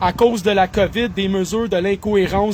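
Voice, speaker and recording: The speaker is a man. He talks with a Quebec accent. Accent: Québécois French. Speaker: online commentator. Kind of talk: solo monologue reading and commenting news articles. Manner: animated.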